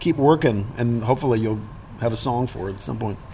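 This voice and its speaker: Noticeable background noise accompanies a man talking with an American accent. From New York. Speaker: singer-songwriter and pianist. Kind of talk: interview answer. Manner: candid, reflective.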